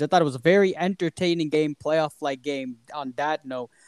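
In a very clean recording with a silent background and a dry, close sound with no echo, a man speaks in a plain, everyday voice at a moderate pace, fairly high in pitch with ordinary pitch variation. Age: 20s. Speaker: sports podcast host. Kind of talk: casual chat.

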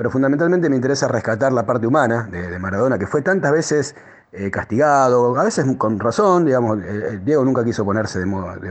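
This is a man with an ordinary speaking voice. He talks at a fairly quick pace with lively intonation. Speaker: contributor sharing memories. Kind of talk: recorded testimony.

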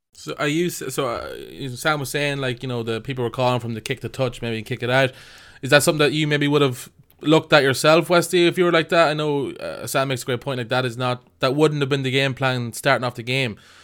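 Very fast and fairly high-pitched, a man talks with an Irish accent and fairly even intonation in a very clean recording with a silent background. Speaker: podcast host. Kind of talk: casual chat.

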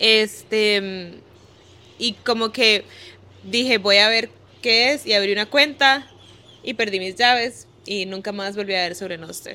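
A woman with a fairly high pitch and ordinary pitch variation speaks at a fairly slow pace, with long, frequent pauses and big swings in loudness. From Costa Rica, Guanacaste. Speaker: bitcoin marketing and PR professional. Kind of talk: casual interview. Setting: in person in El Salvador.

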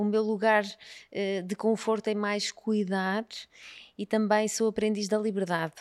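The recording is very clean, with a silent background. A woman speaks with a fairly high pitch. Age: 40s. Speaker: nutritionist. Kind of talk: casual interview chat.

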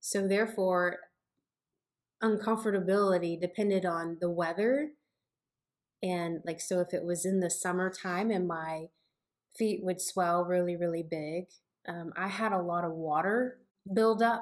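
A woman speaks at a fairly slow pace with fairly even intonation, leaving long pauses often. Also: medium pitch for a woman. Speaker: mother and co-host. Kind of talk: Bible study discussion.

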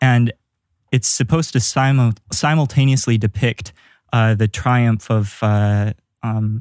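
A man speaks in a plain, everyday voice at medium pitch, fairly slowly and with fairly even intonation, in a very clean recording with a silent background and a dry, close sound with no echo. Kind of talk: casual panel discussion.

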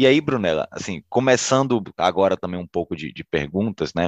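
A man with a Bahian accent talks fairly quickly at a fairly low pitch, with lively intonation. The sound is dry and close with no echo, against a quiet background. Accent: Bahian Brazilian Portuguese. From Bahia, Brazil. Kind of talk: casual interview.

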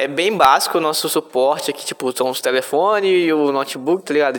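Against noticeable background noise, a man talks at a fairly quick pace in a fairly high pitch. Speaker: podcast host. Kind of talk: casual chat.

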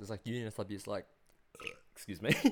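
A man is talking. He speaks with an Australian accent. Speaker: podcast host. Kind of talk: casual chat. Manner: animated.

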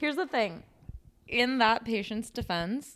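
On a very clean recording with a silent background, a woman with a Midwestern American accent speaks at a fairly high pitch and moderate pace, her tone animated and intonation lively. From US Midwest. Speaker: podcast co-host, speech pathologist. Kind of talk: casual chat.

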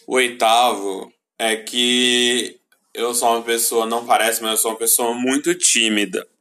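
A man speaks at a fairly slow pace with medium pitch. His tone is bright and sharp, his intonation flat and monotone. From Brazil. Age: 20s. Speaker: vlogger. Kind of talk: casual chat. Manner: stutters easily; halting.

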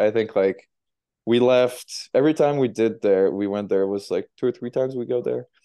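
A man's medium-pitched voice with fairly even intonation, a moderate pace, and a slight French Canadian accent. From Quebec, Montreal South Shore. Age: 20s. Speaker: professional ice hockey player. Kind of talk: casual interview chat.

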